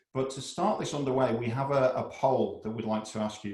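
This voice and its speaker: In an English accent, a man speaks with fairly even intonation over audible room echo. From England. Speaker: business consultant. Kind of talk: presentation. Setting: video call.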